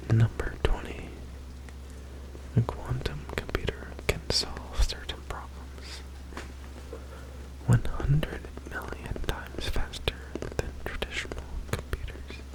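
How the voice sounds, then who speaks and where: A soft-spoken man whispers at a very slow pace, with long, frequent pauses and noticeable background noise. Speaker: ASMR creator. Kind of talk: ASMR facts reading. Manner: whispered, soft-spoken.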